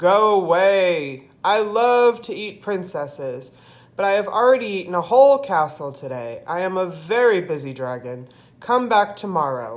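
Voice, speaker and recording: A put-on character voice, female-sounding and raspy, is raised and projected at a middle pitch and a moderate pace. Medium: read story.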